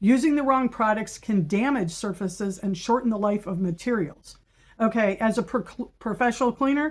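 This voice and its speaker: With ordinary pitch variation, the voice comes across as somewhat breathy. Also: woman, fairly high pitch for a woman, moderate pace. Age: 60s. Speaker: professional house cleaner and business owner. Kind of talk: informational monologue with reading of prepared points. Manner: conversational with frequent fillers and self-corrections; emphatic, assertive.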